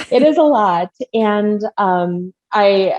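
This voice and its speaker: A woman with an American accent and a medium pitch speaks with very wide pitch swings. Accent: Midwestern, comes out at times. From Minnesota. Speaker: marketing strategist. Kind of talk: podcast interview. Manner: casual, many filler words.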